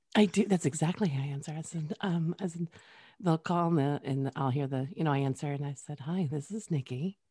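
A woman speaks with a very deep, low pitch, a dark, mellow tone and a somewhat breathy quality, her pitch varying in an ordinary way. The sound is dry and close with no echo, on a very clean recording with a silent background. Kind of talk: interview, casual chat.

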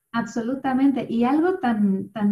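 This woman's voice has a dark, mellow tone. It is somewhat breathy. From Mexico City. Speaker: yoga instructor and voice-over artist. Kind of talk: interview conversation.

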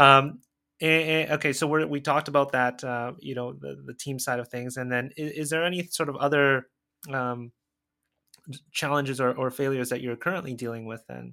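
On a very clean recording with a silent background, a man speaks at a fairly high pitch with a bright, sharp tone. His pace is fairly quick, his intonation fairly even and his loudness swings widely. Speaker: podcast host. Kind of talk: casual interview chat.

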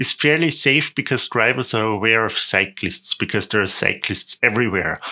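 A man talks in a German accent with a bright, sharp tone. The recording is very clean, with a silent background. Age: 30s. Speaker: tour guide. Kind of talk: podcast monologue, travel tips.

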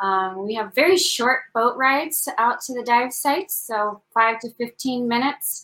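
A bright, sharp tone in an American accent, fairly slow in pace, with ordinary pitch variation. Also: woman, high pitch for a woman. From US West / Kentucky. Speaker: dive center owner. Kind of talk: interview promoting business.

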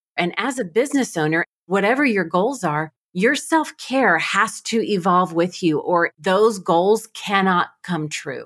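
With a normal speaking voice, the speaker goes fairly slowly and uses lively intonation. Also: woman, medium pitch for a woman. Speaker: podcast host and coach. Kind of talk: interview conversation.

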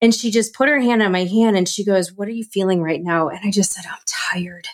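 A fairly quick pace with ordinary pitch variation and an American accent. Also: woman. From US Midwest, Chicago area. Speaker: moving and life coach. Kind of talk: interview chat.

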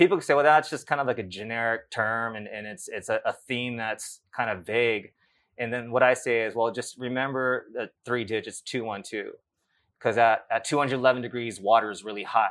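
In a Californian accent, a man with a medium pitch talks at a fairly quick pace with ordinary pitch variation, in a very clean recording with a silent background. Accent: Californian American English. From US West Coast, South Bay of Los Angeles. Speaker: life coach and author. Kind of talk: interview. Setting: live event. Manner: halting, many repeated words.

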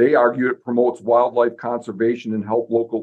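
A man's unremarkable speaking voice, medium in pitch, at a moderate pace. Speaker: podcast host. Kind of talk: casual chat.

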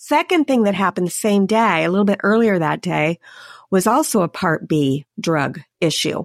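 A woman with an unremarkable speaking voice, medium in pitch and lively in intonation, at a moderate pace with very even loudness, on a very clean recording with a silent background. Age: 50s. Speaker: insurance agent and podcast host. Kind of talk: casual chat.

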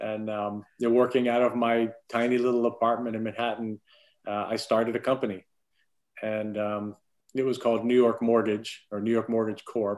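Speaking in a monotone, flat way at a moderate pace, a man with an American accent comes through against a quiet background. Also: medium pitch for a man. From Florida (Clearwater). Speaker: entrepreneur, bank CEO. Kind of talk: interview.

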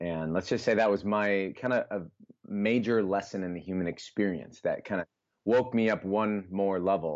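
This man has an ordinary speaking voice at a fairly low pitch with ordinary pitch variation. He talks at a moderate pace. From US Midwest, Iowa (Des Moines). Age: 20s. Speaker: health coach and author. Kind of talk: casual interview chat.

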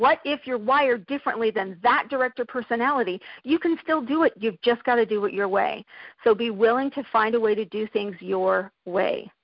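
A woman with a normal speaking voice, pitched fairly high, talks at a moderate pace with ordinary pitch variation. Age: 50s. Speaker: life coach and entrepreneur. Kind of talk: interview.

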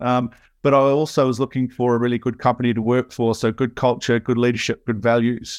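In a dry, close recording with no echo and a quiet background, the voice moves at a fairly quick pace, monotone and flat, with very even loudness. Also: man, medium pitch for a man. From New Zealand. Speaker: software consultant. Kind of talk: casual interview chat. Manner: halting, many fillers.

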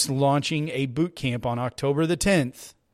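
A man with a Texan accent speaks at a fairly slow pace in a very clean recording with a silent background. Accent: Texan American. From Texas. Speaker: business marketing podcaster. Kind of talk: casual solo podcast tutorial. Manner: animated.

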